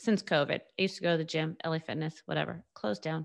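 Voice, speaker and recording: A woman speaks with vocal fry at a fairly low pitch. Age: 40s. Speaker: solo podcaster. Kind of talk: casual monologue. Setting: home, recording on computer. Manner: halting.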